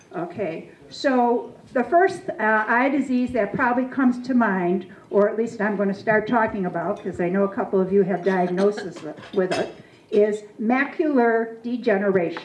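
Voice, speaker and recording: Lively intonation carries a woman's moderate pace over light background noise and audible room echo. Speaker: presenter. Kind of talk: lecture. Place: hall. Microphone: handheld.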